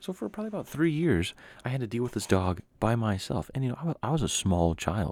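A man talks at a very fast pace with an American accent. His medium pitch makes very wide swings. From Washington State, Yakima. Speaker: podcast host. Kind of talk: casual solo monologue.

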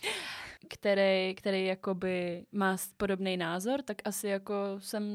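A woman is talking. She speaks in a monotone with flat intonation. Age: 20s. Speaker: podcast co-host. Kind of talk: casual chat.

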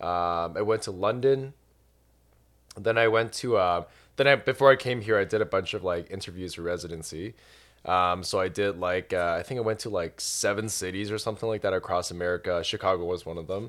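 A man's fairly low, plain, everyday voice with a Canadian accent, ordinary pitch variation, and a fairly quick pace on a very clean recording with a silent background. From Canada. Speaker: doctor. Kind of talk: casual chat.

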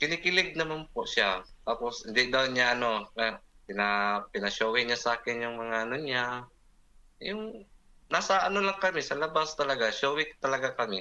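A man's bright, sharp tone sits at a medium pitch, moving at a moderate pace with lively intonation. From Philippines, Davao City. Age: 40s. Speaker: guest sharing life story. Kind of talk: personal testimony in interview. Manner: halting, hesitant.

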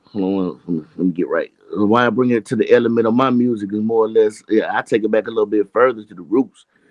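Here a man speaks in a Southern US accent. His pace is fairly quick and his intonation fairly even. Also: medium pitch for a man, hardly any pauses, big swings in loudness. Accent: Southern US (Georgia). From Georgia, US South. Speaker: indie hip hop artist. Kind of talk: casual interview.

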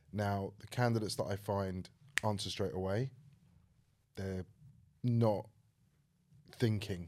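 At a fairly slow pace with long, frequent pauses, a man speaks in a dark, mellow tone at a fairly low pitch with fairly even intonation. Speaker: podcast host. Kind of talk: casual interview chat.

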